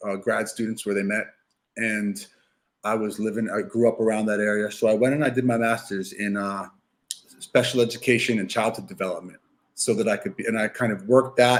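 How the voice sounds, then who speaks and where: A man speaks at a fairly quick pace with an American accent, his pitch medium and his intonation fairly even. It is an unremarkable speaking voice. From New York City. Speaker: youth soccer coach. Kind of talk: podcast interview.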